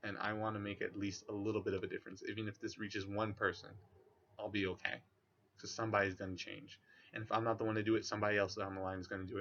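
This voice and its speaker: A man mumbling at a very fast pace, fairly low in pitch, with monotone, flat intonation. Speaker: vlogger. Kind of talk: monologue to camera.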